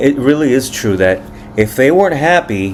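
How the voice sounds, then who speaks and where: Over noticeable background noise, a man with a Spanish accent speaks with lively intonation. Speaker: musician and commentator. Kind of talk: reacting to viewer comments. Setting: home with family present. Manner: animated.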